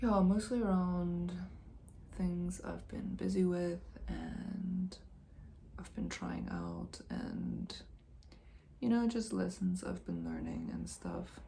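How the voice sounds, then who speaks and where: Soft-spoken, a woman talks at a very slow pace with long, frequent pauses and audible room echo. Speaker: video blogger. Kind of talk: casual reflective monologue. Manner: hesitant, many fillers.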